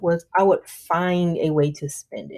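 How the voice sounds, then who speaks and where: A woman speaks in a fairly low pitch with a dark, mellow tone. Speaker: personal finance vlogger. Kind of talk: tutorial.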